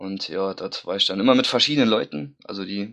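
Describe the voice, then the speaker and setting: The speaker is a man with an unremarkable speaking voice. He moves at a fairly quick pace, his pitch varying in an ordinary way. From Saarland, near Saarbrücken. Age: 20s. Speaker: fan forum member, podcast guest. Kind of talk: casual chat.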